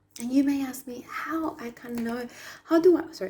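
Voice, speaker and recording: A woman is speaking. She has a Spanish accent. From Argentina. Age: 30s. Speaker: past life therapist. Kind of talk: spiritual talk to camera.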